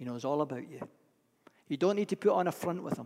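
This man's voice sits at a fairly high pitch with ordinary pitch variation. Its tone is dark and mellow. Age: 70s. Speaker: pastor. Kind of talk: sermon. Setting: church.

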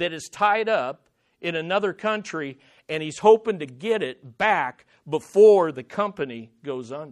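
Against a quiet background, a man with an American accent speaks at a fairly slow pace in a high voice with very wide pitch swings. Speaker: pastor. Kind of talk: sermon. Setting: church.

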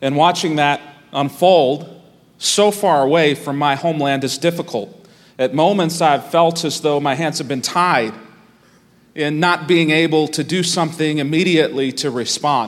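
A man talks at a moderate pace with an American accent and fairly even intonation. His is a normal speaking voice. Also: fairly high pitch for a man. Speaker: pastor. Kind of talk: sermon. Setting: church.

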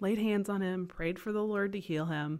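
Here a woman uses a plain, everyday voice at medium pitch with ordinary pitch variation. She speaks at a moderate pace in a very clean recording with a silent background. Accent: American. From US South, eastern North Carolina (Kinston). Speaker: family physician and medical missionary. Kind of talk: interview conversation.

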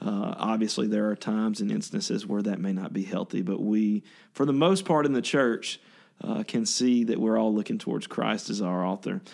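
Over a quiet background, a man with a Louisiana accent speaks at a moderate pace in a fairly low pitch with ordinary variation. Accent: Southern US (Louisiana). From northern Louisiana (Ruston). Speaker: worship pastor. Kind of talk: casual interview.

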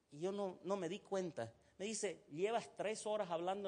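The speaker is a man. His voice is high in pitch. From Egypt. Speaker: pastor. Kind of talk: sermon.

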